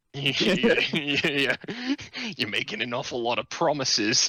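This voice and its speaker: A raspy, put-on character voice. The pace is fairly slow. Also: man, medium pitch for a man. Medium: actual play. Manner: dry, sarcastic.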